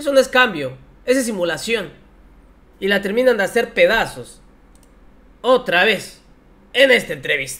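A man with a high pitch and a bright, sharp tone projects a raised voice at a fairly slow pace, with very wide pitch swings and long, frequent pauses. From Mexico. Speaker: political commentary youtuber. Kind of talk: political commentary. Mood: mocking, scornful. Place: home room. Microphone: headset.

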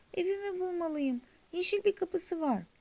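A put-on character voice, squeaky and extremely high in pitch, speaks at a moderate pace. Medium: read story.

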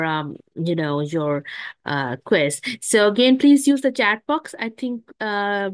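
A woman is talking over a quiet background. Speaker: webinar host. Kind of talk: webinar announcements. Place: home room. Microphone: video call.

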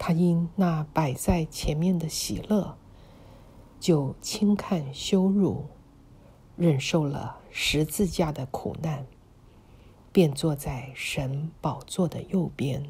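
Speaking at a very slow pace, the woman has a very deep, low pitch and a somewhat breathy voice. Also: ordinary pitch variation. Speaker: audio Bible reader. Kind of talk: scripture reading.

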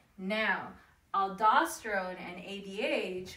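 A woman speaks in a bright, sharp tone, with audible room echo. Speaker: teacher. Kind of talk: lecture. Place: home room. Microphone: camera far.

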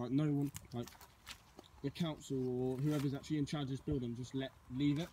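Against light background noise, a man talks very fast in a flat monotone, his tone dark, mellow and somewhat breathy. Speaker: vlogger. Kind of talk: casual vlog chat. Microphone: phone near.

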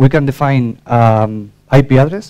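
Dark, mellow male tone, pitch varying in an ordinary way. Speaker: conference presenter. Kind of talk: technical talk. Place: hall.

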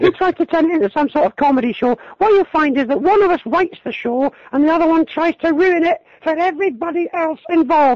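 A man races along at a very fast pace in a put-on character voice, using falsetto at an extremely high pitch.

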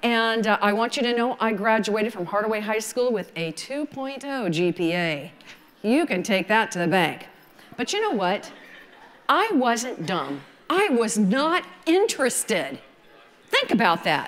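Fairly slow speech with very wide pitch swings. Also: woman, fairly high pitch for a woman. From US South, Georgia. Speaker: wedding photographer. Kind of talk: lecture. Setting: stage with audience. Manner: animated. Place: stage.

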